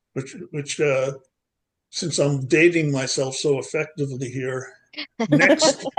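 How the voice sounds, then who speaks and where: Somewhat breathy and fairly high-pitched, a man with an American accent talks at a very slow pace with fairly even intonation and long, frequent pauses. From US Northeast, Long Island, New York. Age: 70s. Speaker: poetry group participant. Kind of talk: casual chat. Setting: video call. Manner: halting, many fillers and repeats.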